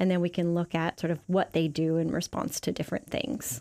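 A woman speaks at a fairly low pitch and a moderate pace, with vocal fry. The recording is very clean with a silent background. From Canada. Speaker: neuroscientist. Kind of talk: interview, explaining science.

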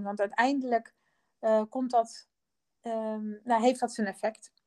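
In a very clean recording with a silent background, a woman speaks at a fairly high pitch in a dark, mellow tone, the sound dry and close with no echo. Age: 50s. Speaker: designer and company co-founder. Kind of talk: interview. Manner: halting, many fillers.

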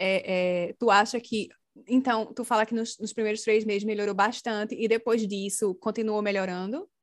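A woman speaks in a plain, everyday voice at a fairly high pitch. Her pace is moderate and her intonation fairly even. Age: 30s. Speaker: podcast host. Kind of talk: casual chat.

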